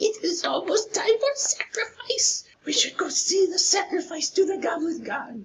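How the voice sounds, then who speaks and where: A put-on character voice pitched extremely high moves at a moderate pace. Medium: actual play. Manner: broken simple speech, repeats words.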